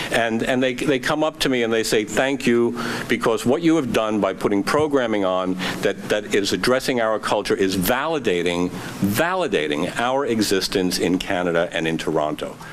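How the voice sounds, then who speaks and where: Against noticeable background noise and audible room echo, a man with a New York accent speaks at a moderate pace in a medium pitch, his intonation lively and his loudness very even. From US, New York. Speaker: performing arts centre executive. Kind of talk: public speech. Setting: theatre event with audience. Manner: animated.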